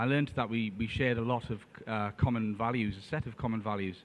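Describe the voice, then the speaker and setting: Speaking with a northern English accent, a man uses a medium pitch. His pace is fairly quick. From northern England, Tyneside. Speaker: trade adviser. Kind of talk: conference presentation. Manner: hesitant, many fillers.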